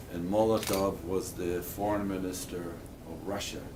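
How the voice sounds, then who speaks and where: In a fairly low, somewhat breathy voice, a man talks at a fairly slow pace. His intonation is fairly even, and room echo is audible. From Poland. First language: Polish. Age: 80s+. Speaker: Holocaust survivor. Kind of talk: testimony.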